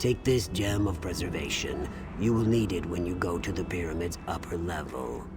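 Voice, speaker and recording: Over loud background music, a man performs a put-on character voice with a very deep, low pitch. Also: moderate pace. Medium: video game. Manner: formal, stately.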